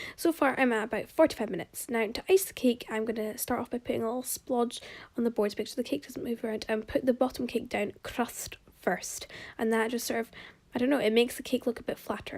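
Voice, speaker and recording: Ordinary pitch variation marks a woman's very fast-paced talk. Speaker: home baker, video creator. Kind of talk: baking tutorial. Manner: casual, chatty.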